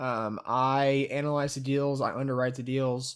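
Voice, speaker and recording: Fairly slow speech from a man with a fairly high voice, on a very clean recording with a silent background. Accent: Texan. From Texas, Brenham. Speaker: student real estate investor. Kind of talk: casual interview.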